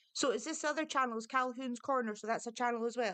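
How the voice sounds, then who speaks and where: Speaking at a very fast pace, a woman uses an animated tone and a fairly high pitch with ordinary pitch variation. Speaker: online talk show host. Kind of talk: casual chat. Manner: quieter than co-host.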